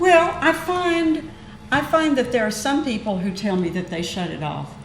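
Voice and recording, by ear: A woman speaks at a moderate pace with fairly high pitch and lively intonation. Audible room echo is present.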